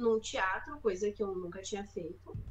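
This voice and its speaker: Her voice is a plain, everyday voice, with this woman speaking at a medium pitch and ordinary pitch variation. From Rio Grande do Sul, Brazil. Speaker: stand-up comedian. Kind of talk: casual chat.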